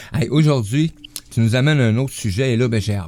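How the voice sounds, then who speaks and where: A man talks at a fairly quick pace with ordinary pitch variation in an unremarkable speaking voice. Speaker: radio host. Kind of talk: casual chat.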